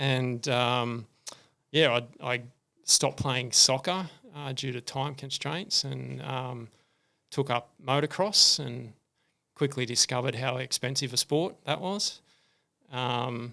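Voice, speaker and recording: On a very clean recording with a silent background, a man speaks very slowly with long, frequent pauses, his medium-pitched voice bright and sharp in tone, with vocal fry and ordinary pitch variation. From Australia, rural New South Wales (Cessnock). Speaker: retired engineer, running community founder. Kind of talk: podcast interview. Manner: casual, many filler words.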